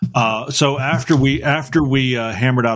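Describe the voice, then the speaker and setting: A man with a Southern US accent at a fairly slow pace, on a very clean recording with a silent background. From North Carolina. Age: 60s. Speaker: podcast host. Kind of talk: casual chat. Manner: halting.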